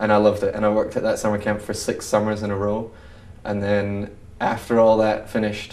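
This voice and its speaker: Monotone, flat delivery from a man of fairly low pitch, very fast, with audible room echo. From Scotland. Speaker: university student and actor. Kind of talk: interview.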